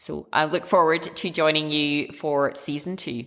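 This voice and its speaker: On a very clean recording with a silent background, a woman speaks at a very slow pace in a very deep, low pitch with a bright, sharp tone. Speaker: podcast host, doctor. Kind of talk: podcast monologue. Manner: hesitant, many fillers. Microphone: older setup, new condenser coming.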